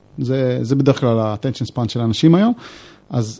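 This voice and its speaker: A man's tone is dark and mellow. He talks fairly quickly. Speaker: software developer and author. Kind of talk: casual chat.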